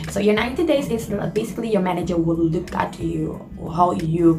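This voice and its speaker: The speaker has a non-native accent, with audible room echo. Music plays in the background. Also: woman. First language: not English. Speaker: cruise ship worker and vlogger. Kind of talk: casual Q&A vlog. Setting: small house at home. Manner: hesitant with many fillers.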